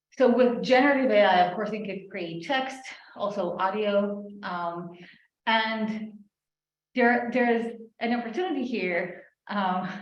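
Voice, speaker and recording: A woman speaks at a fairly slow pace with long, frequent pauses. Her pitch is fairly high, and audible room echo surrounds her. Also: ordinary pitch variation. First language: not English. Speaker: AI ethics researcher. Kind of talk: panel discussion.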